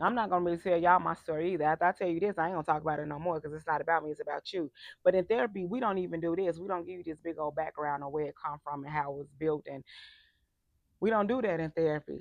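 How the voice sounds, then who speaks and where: The woman talks at a very fast pace. Her pitch is fairly low, with ordinary variation. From US Midwest, Chicago. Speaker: life coach. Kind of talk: casual monologue to viewers. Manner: informal, conversational.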